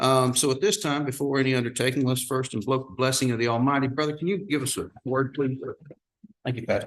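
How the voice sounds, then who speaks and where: A medium-pitched man with a Texan accent, talking at a very fast pace with ordinary pitch variation. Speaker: county judge chairing meeting. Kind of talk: public meeting chairing. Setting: courtroom meeting with audience. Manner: loud.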